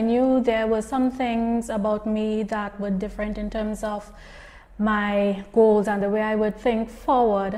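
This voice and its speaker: A woman's dark, mellow tone, fairly high in pitch, with fairly even intonation and a fairly slow pace. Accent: Trinidadian. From southern Trinidad, rural Princes Town. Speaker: entrepreneur and speaker. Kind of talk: interview answers, personal story.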